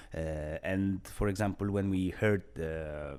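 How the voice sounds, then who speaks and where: A man with an Eastern European accent speaks very slowly in a very deep, low voice, his tone dark and mellow and his pitch varying in an ordinary way, on a very clean recording with a silent background. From Poland. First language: Polish. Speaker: vlogger, former wildlife patrol supervisor. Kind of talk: personal storytelling monologue. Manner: halting, many filler sounds.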